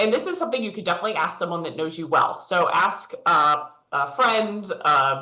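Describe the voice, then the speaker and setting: Amid audible room echo, a woman speaks at a moderate pace and medium pitch with lively intonation. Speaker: leadership coach. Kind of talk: virtual workshop presentation. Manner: loud.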